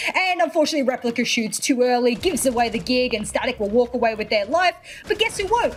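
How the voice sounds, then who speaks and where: A woman with an Australian accent talks at a very fast pace and high pitch with lively intonation, over noticeable background noise. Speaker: esports caster. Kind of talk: live commentary. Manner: animated.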